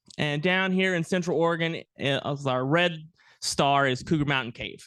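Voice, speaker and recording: The voice is loud and moves at a moderate pace over a quiet background. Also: man. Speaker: archaeologist, guest lecturer. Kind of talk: lecture. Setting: planetarium with audience, mic.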